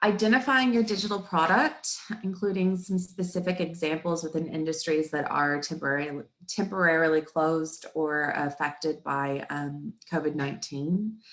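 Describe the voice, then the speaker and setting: A woman speaks at a moderate pace with a fairly low pitch, ordinary pitch variation and a slight Texan accent. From Texas. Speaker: marketing coach and webinar presenter. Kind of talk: webinar presentation.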